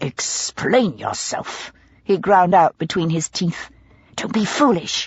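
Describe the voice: Ordinary pitch variation across plain reading aloud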